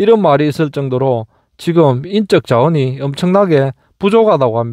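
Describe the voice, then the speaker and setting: This man's fairly high voice has a dark, mellow tone and lively intonation, moving at a moderate pace in a dry, close sound with no echo. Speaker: YouTuber revisiting his old army base. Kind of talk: vlog narration.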